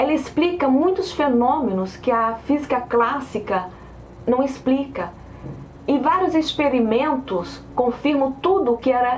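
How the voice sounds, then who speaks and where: Amid noticeable background noise and audible room echo, a woman speaks at a fairly slow pace in a high pitch, with very even loudness and lively intonation. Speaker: science video presenter. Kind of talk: lecture. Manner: hesitant repetitions.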